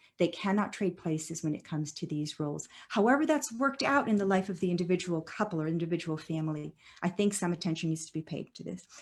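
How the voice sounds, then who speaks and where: A woman speaks at a very fast pace with lively intonation. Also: fairly low pitch for a woman. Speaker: professor. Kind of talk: lecture. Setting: video call. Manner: halting.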